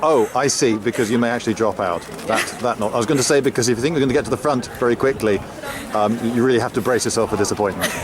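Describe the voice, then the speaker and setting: Amid noticeable background noise, a man speaks at a very fast pace and medium pitch, with ordinary pitch variation and very even loudness. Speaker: video presenter. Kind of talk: casual vlog with street interviews.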